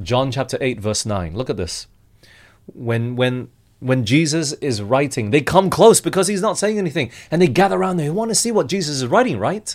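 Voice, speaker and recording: A man talks at a fairly quick pace, his fairly high voice swinging very widely in pitch. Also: very clean recording, silent background. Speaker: preacher. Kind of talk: sermon.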